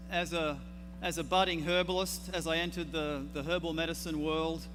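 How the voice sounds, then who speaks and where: A man in an Australian accent talks at a moderate pace, with audible room echo around him. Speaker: herbalist. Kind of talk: conference talk. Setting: stage with audience.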